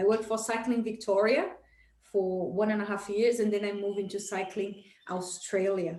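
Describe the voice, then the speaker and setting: Here a woman speaks with a Portuguese accent and fairly even intonation. Room echo is audible. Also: medium pitch for a woman, moderate pace. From Brazil. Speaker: entrepreneur, business coach. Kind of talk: interview.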